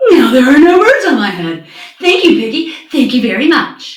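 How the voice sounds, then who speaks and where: A woman's put-on character voice, high-pitched, at a moderate pace with slight echo. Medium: read story. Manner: anxious.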